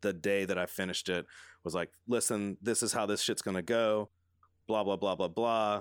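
A man has a plain, everyday voice with a fairly low pitch. He speaks at a moderate pace with fairly even intonation. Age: 30s. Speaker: design studio co-owner. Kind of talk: casual interview chat.

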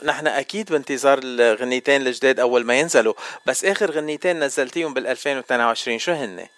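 The voice moves at a moderate pace with hardly any pauses and ordinary pitch variation. Background noise is noticeable. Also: man, fairly high pitch for a man. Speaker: radio host. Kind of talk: radio interview. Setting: studio.

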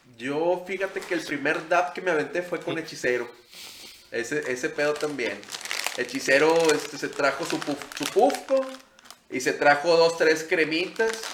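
A man's fairly high voice moves fairly slowly with lively intonation while noticeable noise sits in the background. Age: 30s. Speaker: podcast host. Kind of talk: casual chat.

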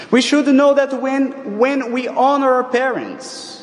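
An extremely high-pitched male voice with a non-native accent, very slow pace and fairly even intonation, amid noticeable background noise. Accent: foreign accent, non-native. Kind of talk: sermon. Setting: church. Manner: formal.

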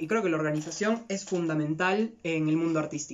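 A man talks at a fairly quick pace with a high pitch. The pitch varies in an ordinary way. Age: 20s. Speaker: podcast co-host, acting student. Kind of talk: casual chat.

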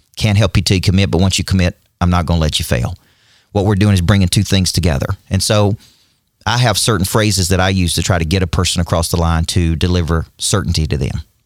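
A very deep, low male voice with a Southern US accent, ordinary pitch variation, a very fast pace and very even loudness. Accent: Southern pronunciation, says decide as D-side. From US South, Nashville, Tennessee. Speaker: business and performance coach. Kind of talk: casual interview. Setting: studio. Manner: intense.

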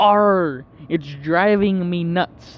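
This man is doing a put-on character voice. It sits high in pitch. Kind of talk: comic, joke punchline. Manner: growling, drawn-out 'arr'.

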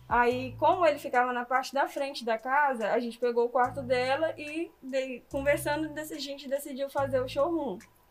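A woman's high voice at a moderate pace, with fairly even intonation and hardly any pauses. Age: 20s. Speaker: small business owner, online clothing store. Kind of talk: interview.

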